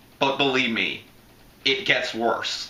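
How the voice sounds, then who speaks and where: Fairly slow speech from a man, with noticeable noise behind it and audible echo in the room. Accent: American. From Florida. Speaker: YouTube movie reviewer. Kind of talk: casual movie review commentary.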